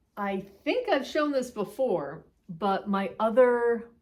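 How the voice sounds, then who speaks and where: A woman's medium-pitched, animated voice with lively intonation. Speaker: knitting vlogger. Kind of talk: casual chat.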